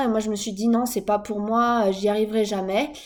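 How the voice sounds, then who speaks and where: A woman's voice over noticeable background noise. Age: 20s. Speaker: vlogger, young mother. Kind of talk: personal vlog monologue. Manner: hesitant, many fillers.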